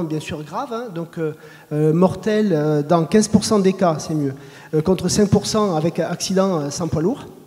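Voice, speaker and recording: This is a man's voice. It has a dark, mellow tone. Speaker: road safety official. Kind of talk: panel discussion.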